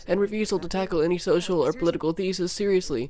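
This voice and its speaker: Over noticeable background noise, a man speaks with a high pitch and fairly even intonation. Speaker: video essayist. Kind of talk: video essay narration.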